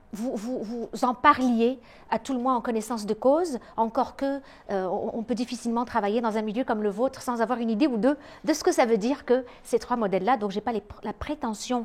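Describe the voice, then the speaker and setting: Her fairly high voice moving at a fairly quick pace, a woman speaks with ordinary pitch variation. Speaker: psychologist and lecturer. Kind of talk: lecture. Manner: hesitant, many filler sounds.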